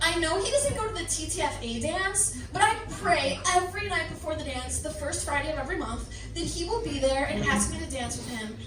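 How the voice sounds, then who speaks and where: A woman is talking at a fairly quick pace. There is noticeable background noise. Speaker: comedian. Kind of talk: live comedic diary reading to an audience. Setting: live venue with audience.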